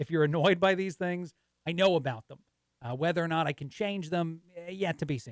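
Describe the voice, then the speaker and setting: The speech moves at a fairly quick pace with ordinary pitch variation and big swings in loudness. The sound is dry and close, with no echo. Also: man. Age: 40s. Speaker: guest radio host. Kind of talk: talk radio monologue. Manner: fast; laughs at own jokes.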